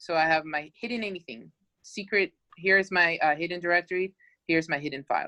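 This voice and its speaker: A woman talks very fast in a fairly low voice with ordinary pitch variation, recorded dry and close with no echo. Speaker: teacher. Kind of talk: tutorial.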